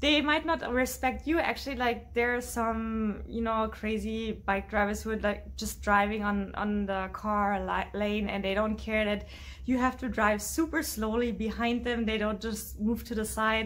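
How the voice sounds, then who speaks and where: A woman speaks with a German accent. She leaves hardly any pauses. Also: moderate pace. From Berlin, Germany. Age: 20s. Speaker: YouTuber. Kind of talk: casual talk to camera. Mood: cheerful, animated. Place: home room.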